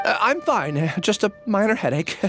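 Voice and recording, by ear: A man uses a put-on character voice, high-pitched and fairly bright, with big pitch swings. He keeps a moderate pace over faint background music.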